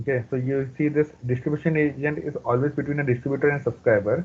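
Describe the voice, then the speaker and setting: A very fast-talking man, somewhat breathy, with a fairly high pitch. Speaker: database trainer. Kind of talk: live training tutorial.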